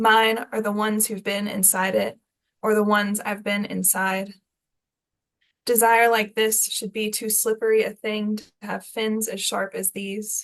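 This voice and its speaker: A woman speaks with an American accent at a fairly high pitch. She talks fairly slowly, with monotone, flat intonation. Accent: Southern US accent, consciously toned down. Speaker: poet. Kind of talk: poetry reading; casual spoken introduction.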